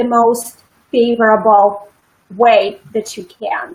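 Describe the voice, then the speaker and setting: A woman speaks with a non-native accent. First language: not English. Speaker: public speaking coach. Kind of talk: interview.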